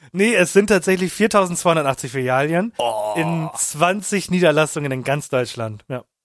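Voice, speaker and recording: Intonation here is lively. The delivery is very slow. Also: man, fairly high pitch for a man. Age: 20s. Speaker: podcast co-host. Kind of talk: casual chat.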